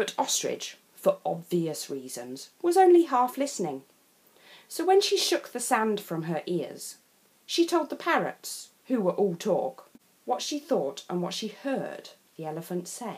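Very wide pitch swings and a fairly slow pace in an English accent, over noticeable background noise. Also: woman, fairly high pitch for a woman. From England. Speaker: storyteller. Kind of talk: children's picture book read-aloud.

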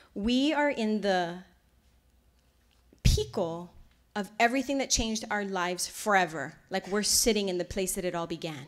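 A woman with a Hawaiian accent at a moderate pace, lively intonation and long, frequent pauses. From Kailua-Kona, Hawaii. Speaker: resort culture director, lecturer. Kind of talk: public lecture. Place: hall. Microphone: podium.

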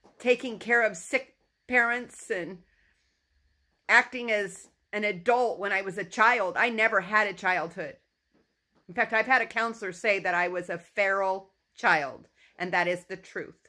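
Against a quiet background, a woman speaks at a moderate pace with ordinary pitch variation and long, frequent pauses. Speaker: personal vlogger. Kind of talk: emotional personal monologue. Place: home room. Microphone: phone near.

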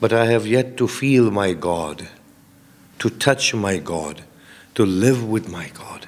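Lively intonation from a male speaker. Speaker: preacher. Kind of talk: sermon. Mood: earnest, reflective. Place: hall. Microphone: podium.

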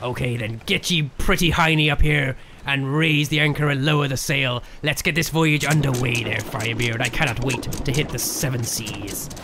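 In a put-on character voice, a man speaks at a moderate pace with medium pitch. He hardly pauses at all, and background noise is clearly audible. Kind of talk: comedic pirate roleplay over gameplay.

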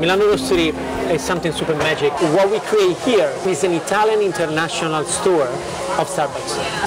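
A man talks fairly quickly while loud noise fills the background. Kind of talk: interview answer. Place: cafe.

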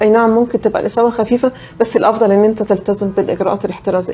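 Here a woman talks with a fairly high pitch. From Egypt. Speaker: infectious disease physician; guest. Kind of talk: health talk show interview. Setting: studio, live broadcast. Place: studio.

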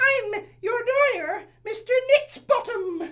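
A put-on character voice, pitched extremely high, moves along at a fairly slow pace. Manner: cheerful, comic.

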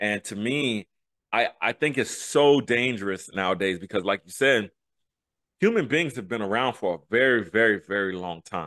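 A man speaks in a fairly low voice at a moderate pace, his tone animated, bright and sharp with lively intonation. The sound is dry with no echo, over a quiet background. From US urban neighborhoods. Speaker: podcast co-host. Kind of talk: interview answer. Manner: animated, hyped. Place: home room. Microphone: studio mic.

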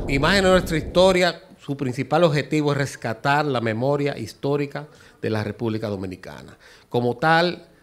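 A man with a fairly high voice talks fairly quickly. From Dominican Republic. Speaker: architect and amateur historian; guest. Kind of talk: TV interview. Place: studio. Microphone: handheld.

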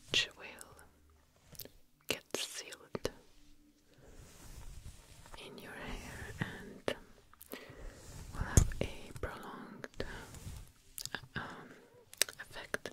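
A woman whispers in a soft-spoken way. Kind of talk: soft-spoken ASMR role-play. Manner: soft, close ASMR whisper. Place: home room.

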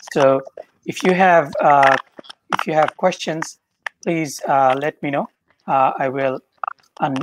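Long, frequent pauses break up the fairly slow pace. Noticeable background noise can be heard throughout. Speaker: webinar moderator. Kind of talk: moderating a webinar. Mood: warm, appreciative. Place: home room. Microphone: video call.

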